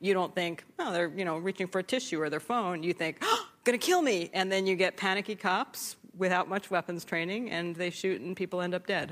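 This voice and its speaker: With an unremarkable speaking voice, a woman talks at a fairly quick pace and medium pitch, with ordinary pitch variation and hardly any pauses. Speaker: former Pentagon official and author. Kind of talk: panel discussion. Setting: stage with audience.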